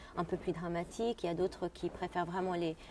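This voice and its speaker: A woman speaks at a medium pitch, her tone dark and mellow. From Jordan. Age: 30s. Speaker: opera singer. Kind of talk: interview. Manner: halting.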